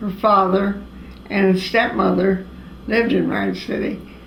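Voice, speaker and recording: A very slow voice with an American accent and audible room echo. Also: woman. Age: 80s+. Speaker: elderly woman recalling family history. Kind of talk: oral history interview. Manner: halting, many fillers.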